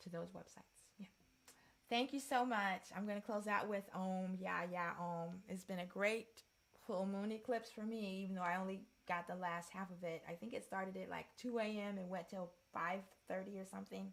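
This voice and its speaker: With an unremarkable speaking voice, a woman of medium pitch talks at a moderate pace with fairly even intonation. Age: 60s. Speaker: sound healer and energy reader. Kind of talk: livestream closing talk.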